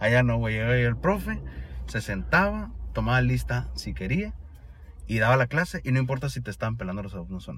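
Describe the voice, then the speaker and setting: Very wide pitch swings from a man with a very deep, low pitch at a fairly quick pace. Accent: Sonoran. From Sonora, Mexico. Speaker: exchange student. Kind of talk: casual chat. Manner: casual slangy speech.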